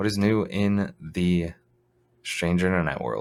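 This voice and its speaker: Quiet and very slow, a man speaks with lively intonation. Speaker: podcast co-host. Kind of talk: casual chat.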